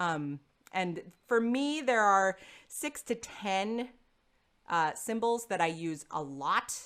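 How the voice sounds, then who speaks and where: A woman at medium pitch, very slow in pace, with lively intonation. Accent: American. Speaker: choral singing teacher. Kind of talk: online lecture. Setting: webinar video call.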